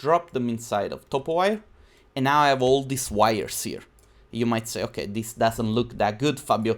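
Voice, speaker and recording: A man's medium-pitched voice with an Italian accent, ordinary pitch variation and a moderate pace. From southern Italy (Naples area); southern Italy. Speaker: 3D designer and YouTuber; YouTuber. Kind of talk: live-stream tutorial. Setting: live stream. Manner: casual, chatty. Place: home room.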